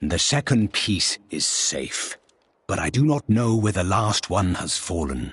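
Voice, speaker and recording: Putting on a character voice, a man speaks fairly slowly at a fairly low pitch. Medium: video game.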